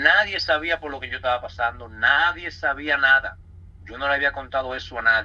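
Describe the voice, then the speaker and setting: This man has a fairly high pitch and a bright, sharp tone, speaking at a moderate pace with lively intonation and big swings in loudness. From Dominican Republic, Santo Domingo. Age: 30s. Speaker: church member giving testimony. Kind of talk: testimony.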